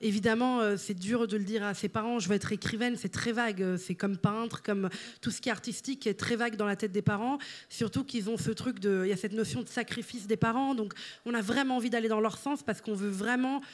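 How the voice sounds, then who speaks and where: A woman races along at a very fast pace, her fairly high pitch showing ordinary variation. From Italy. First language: Italian (speaking French). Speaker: writer and content creator. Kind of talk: interview. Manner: halting, many fillers.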